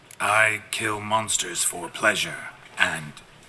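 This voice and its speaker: A put-on character voice from a man, raspy and fairly low in pitch, at a very slow pace. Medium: video game. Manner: deadpan, terse.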